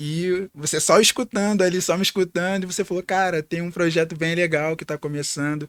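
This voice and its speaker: A man speaks in a high pitch at a fairly quick pace, with hardly any pauses and fairly even intonation. The recording is very clean, with a silent background and a dry, close sound with no echo. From Rio de Janeiro, Brazil. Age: 20s. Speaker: podcast co-host, air force serviceman. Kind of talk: casual podcast chat.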